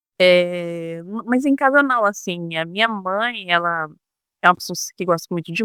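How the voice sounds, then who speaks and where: A woman's medium-pitched voice with a bright, sharp tone, at a moderate pace, in a dry, close sound with no echo. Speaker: former telemarketing saleswoman, customer service trainer. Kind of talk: casual interview chat. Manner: halting, with restarts and fillers.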